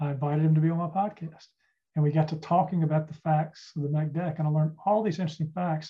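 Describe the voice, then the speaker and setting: Speaking very fast with an American accent, a man has a fairly high, dark, mellow voice. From US South, Charlotte, North Carolina. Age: 60s. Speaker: retired trial lawyer, author and podcaster. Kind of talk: casual interview.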